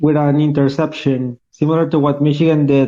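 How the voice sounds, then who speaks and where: This man speaks with a strong Costa Rican accent at a moderate pace. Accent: thick Costa Rican Spanish. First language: Spanish. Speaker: caller. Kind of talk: casual chat.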